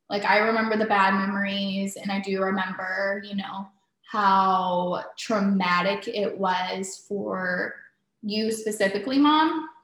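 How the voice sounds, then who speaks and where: Speaking fairly slowly, a woman with an unremarkable speaking voice keeps a medium pitch and ordinary pitch variation. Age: 20s. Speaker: host's daughter. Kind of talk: casual chat.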